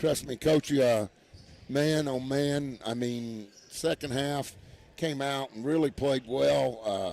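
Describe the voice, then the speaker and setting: Here a man talks at a very slow pace. His pitch sits in the medium range. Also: ordinary pitch variation. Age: 60s. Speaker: radio sports broadcaster. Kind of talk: postgame interview.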